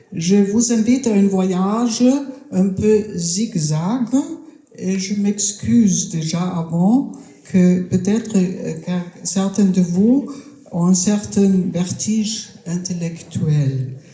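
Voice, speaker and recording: Very slow speech with long, frequent pauses, ordinary pitch variation, audible room echo and noticeable background noise. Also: woman, medium pitch for a woman. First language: German (speaking French). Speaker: round-table panelist. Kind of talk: round-table talk. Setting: stage with audience at a festival. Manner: hesitant.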